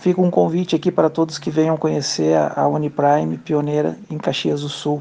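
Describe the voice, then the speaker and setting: At a moderate pace, a man talks with hardly a pause. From Brazil, Porto Alegre (Rio Grande do Sul). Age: 50s. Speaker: bank branch manager. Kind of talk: interview.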